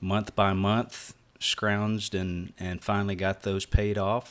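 A man with a plain, everyday voice talks at a fairly slow pace and a fairly low pitch. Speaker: preacher. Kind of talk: casual religious discussion. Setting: video call.

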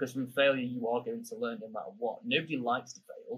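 Talking very fast, the man speaks with a British accent. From UK. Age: 20s. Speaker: podcast host. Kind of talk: casual interview chat.

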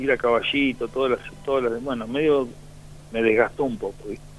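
This is a man speaking at medium pitch. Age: 50s. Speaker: former footballer. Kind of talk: radio interview. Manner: halting.

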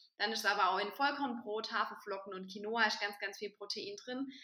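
A woman speaks at a moderate pace in a fairly high pitch. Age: 20s. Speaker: vegan nutrition advisor. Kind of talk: casual chat.

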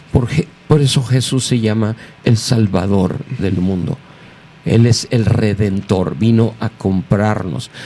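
A man talks at a very slow pace with fairly low pitch and ordinary pitch variation. Noticeable background noise is present. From Mexico City. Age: 60s. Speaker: pastor. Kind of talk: interview. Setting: studio.

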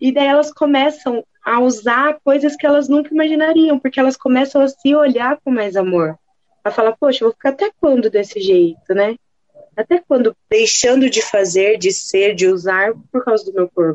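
A high-pitched woman's voice at a moderate pace, with very wide swings in pitch. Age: 20s. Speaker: plus size model. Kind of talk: casual chat.

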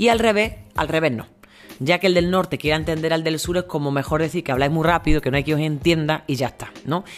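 With an Andalusian accent, a woman with a very deep, low pitch speaks at a very fast pace with ordinary pitch variation against noticeable background noise. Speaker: monologue performer and podcaster. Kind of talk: solo podcast monologue. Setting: outdoors in home patio.

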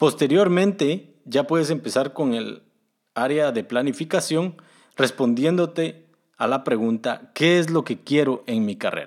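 The recording is very clean with a silent background, and a man speaks at a fairly slow pace with a fairly high pitch. He has an unremarkable speaking voice with ordinary pitch variation. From Guatemala. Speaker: podcast host, software developer. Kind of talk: solo podcast monologue giving career advice.

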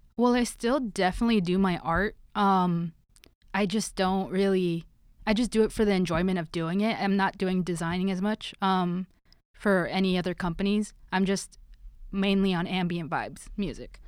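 On a very clean recording with a silent background, a normal speaking voice with an American accent keeps a fairly even intonation. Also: woman, medium pitch for a woman, moderate pace. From Los Angeles. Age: 20s. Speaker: sound engineer and producer. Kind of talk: casual chat.

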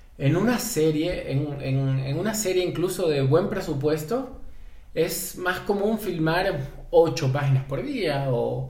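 A man's fairly high voice with lively intonation, set against noticeable background noise and audible room echo. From Ecuador, Guayaquil. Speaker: film and TV director and screenwriter. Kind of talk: interview conversation. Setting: in-person studio recording.

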